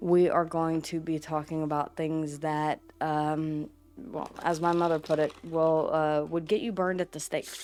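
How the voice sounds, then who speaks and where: A woman with a Southern US accent, very deep and low in pitch, monotone and flat, over noticeable background noise. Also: fairly slow pace. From US South. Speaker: witchcraft and tarot content creator. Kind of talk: casual vlog talk to camera. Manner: halting, repeats words.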